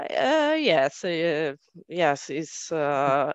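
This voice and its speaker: Here a woman speaks with an Italian accent. Her pitch sits fairly low. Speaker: software development team leader. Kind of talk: panel interview.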